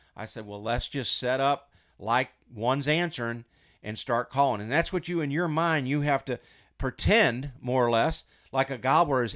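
Fairly quick male speech with an American accent, an unremarkable speaking voice and ordinary pitch variation, on a very clean recording with a silent background. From Missouri. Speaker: turkey hunter and game call expert. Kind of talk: casual chat.

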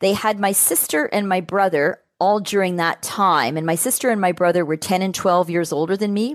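A woman with a Canadian accent has an unremarkable speaking voice, fairly low in pitch, with fairly even intonation at a fairly quick pace. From Toronto, Canada. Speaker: public relations manager. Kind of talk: interview.

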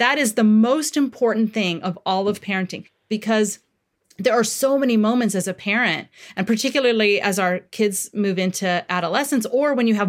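A woman with a normal speaking voice, fairly high in pitch and fairly quick, with ordinary pitch variation, on a very clean recording with a silent background. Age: 40s. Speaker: parenting author and therapist. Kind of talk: interview.

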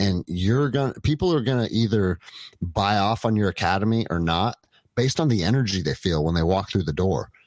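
A man with a plain, everyday voice, fairly low pitch, lively intonation, a fairly quick pace and very even loudness. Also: very clean recording, silent background. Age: 40s. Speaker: jiu jitsu gym owner and former police officer. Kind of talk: casual chat.

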